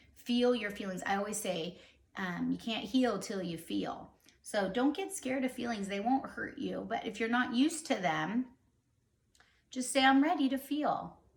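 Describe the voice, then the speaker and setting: With vocal fry and a fairly high pitch, a woman speaks at a moderate pace with lively intonation. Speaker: vlogger. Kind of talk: casual chat. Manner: animated.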